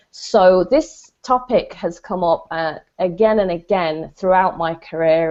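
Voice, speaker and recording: A medium-pitched woman with a British accent and ordinary pitch variation. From Britain. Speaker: business strategist. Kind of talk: self-introduction in panel discussion. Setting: video call.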